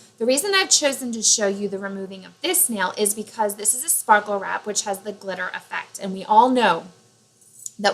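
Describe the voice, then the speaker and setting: Medium-pitched woman's voice at a moderate pace. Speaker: nail product tutorial vlogger. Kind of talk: tutorial. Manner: loud; casual, with fillers.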